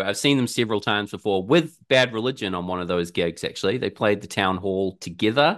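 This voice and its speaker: Here a man talks in a New Zealand accent. His pace is fairly quick and his pitch fairly low. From New Zealand, Auckland. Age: 30s. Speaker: musician and gig reviewer. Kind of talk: casual chat.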